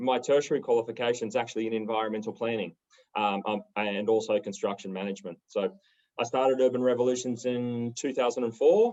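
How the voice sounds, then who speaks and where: Speaking very fast with fairly even intonation, a man uses a medium pitch and an Australian accent. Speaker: property developer. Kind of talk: panel discussion.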